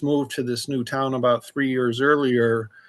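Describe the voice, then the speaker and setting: A man speaks in a flat monotone at a medium pitch over a quiet background. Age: 60s. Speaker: recovering alcoholic, memoir author. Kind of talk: interview testimony.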